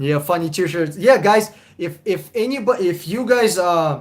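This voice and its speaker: A high-pitched man at a fairly slow pace, with ordinary pitch variation. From Russia. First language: Russian. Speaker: car buying advisor. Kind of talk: live stream chat with viewers. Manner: casual, animated.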